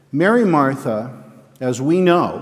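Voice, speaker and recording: A man speaks at a very slow pace with lively intonation, his voice carrying audible room echo over noticeable background noise. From Connecticut, US. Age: 60s. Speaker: eulogist at memorial service. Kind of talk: eulogy; scripture reading. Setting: church. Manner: halting.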